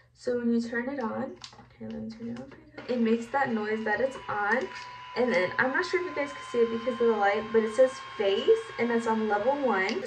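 A woman at a moderate pace over background music, with big swings in loudness and ordinary pitch variation. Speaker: beauty product reviewer. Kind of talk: casual tutorial vlog. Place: bathroom. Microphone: phone near.

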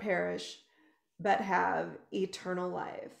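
A woman at a very slow pace, with audible room echo against a quiet background. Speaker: ministry host. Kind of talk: devotional talk show hosting. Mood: warm, excited. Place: home room. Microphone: video call.

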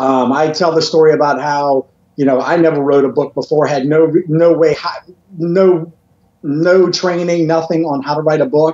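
With audible room echo, a man speaks at a moderate pace in fairly even intonation. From Louisiana. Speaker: motivational speaker and author. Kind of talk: interview. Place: home room. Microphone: video call.

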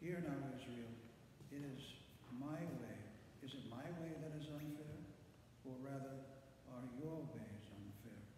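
A man speaks at a fairly slow pace with ordinary pitch variation and long, frequent pauses, amid strong room echo and noticeable background noise. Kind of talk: scripture reading. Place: church. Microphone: camera far.

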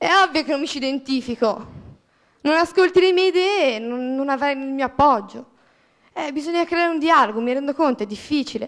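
Over a quiet background, a woman with a high pitch talks at a fairly quick pace, with ordinary pitch variation and long, frequent pauses. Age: 20s. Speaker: student, audience member; audience member. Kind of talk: audience question. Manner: indignant. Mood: frustrated, passionate. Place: hall. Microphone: handheld.

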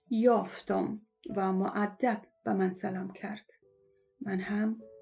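Music can be heard behind the voice. A woman talks at a very slow pace. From Afghanistan. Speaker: former TV and radio presenter. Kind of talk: first-person story reading.

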